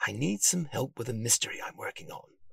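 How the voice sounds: Putting on a character voice, a man speaks at a medium pitch and a fairly quick pace with lively intonation. His fairly bright tone carries vocal fry and a slightly husky edge.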